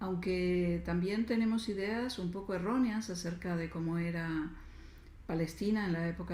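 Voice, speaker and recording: Against audible room echo, a woman speaks with a fairly low pitch, a dark, mellow, somewhat breathy tone, and fairly even intonation. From Argentina. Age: 60s. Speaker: writer and feminist spirituality speaker. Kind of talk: lecture. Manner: hesitant, many fillers.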